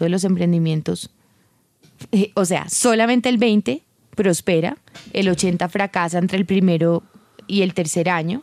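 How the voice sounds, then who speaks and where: At a fairly slow pace, a woman speaks with a dark, mellow tone and medium pitch in a very clean recording with a silent background and a dry, close sound with no echo. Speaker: entrepreneur and speaker. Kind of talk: interview. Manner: animated.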